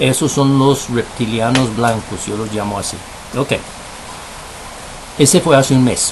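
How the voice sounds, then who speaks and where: Against noticeable background noise, a man talks at a moderate pace with ordinary pitch variation. He takes long, frequent pauses. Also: medium pitch for a man. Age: 60s. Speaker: video blogger on spiritual topics. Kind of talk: bilingual monologue with pendulum demonstration. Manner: switches between English and Spanish; counting aloud.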